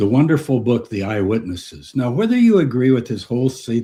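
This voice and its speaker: Over a quiet background, a man speaks with a dark, mellow tone that is somewhat breathy. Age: 70s. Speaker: retired professor of religious studies. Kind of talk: interview. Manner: animated.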